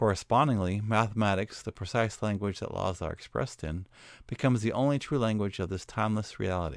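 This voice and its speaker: With an American accent, a man uses a normal speaking voice at medium pitch and a fairly quick pace, on a very clean recording with a silent background. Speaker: educational video narrator. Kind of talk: scripted narration. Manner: formal.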